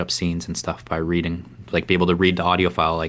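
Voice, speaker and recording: A man talks with a very deep, low pitch at a very fast pace. His intonation is monotone and flat. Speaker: YouTube vlogger. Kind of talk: casual chat.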